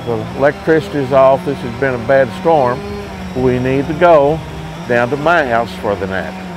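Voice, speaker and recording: Over noticeable background noise, a man with an Appalachian accent speaks at a moderate pace and medium pitch. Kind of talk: interview answer.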